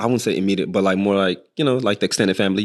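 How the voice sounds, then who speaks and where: A man with a slight Nigerian accent talks at a fairly low pitch with ordinary pitch variation. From northern Nigeria. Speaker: chef. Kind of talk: casual interview.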